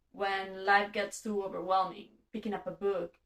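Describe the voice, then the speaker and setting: In a Catalan accent, a woman talks at a moderate pace with a medium pitch. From Spain (Catalan-speaking). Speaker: booktuber. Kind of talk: casual vlog monologue.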